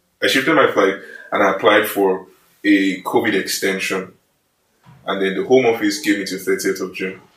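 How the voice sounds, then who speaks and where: A man with a Nigerian accent speaks at a fairly low pitch with ordinary pitch variation. Long, frequent pauses break up his speech. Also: moderate pace. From Nigeria, Kogi State. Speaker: engineering student. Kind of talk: casual chat.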